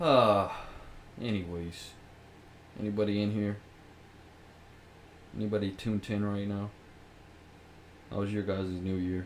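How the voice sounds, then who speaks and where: In a room with audible echo, a man speaks at a moderate pace with fairly low pitch. His intonation stays fairly even, broken by long, frequent pauses. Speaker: podcast host. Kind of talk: casual chat.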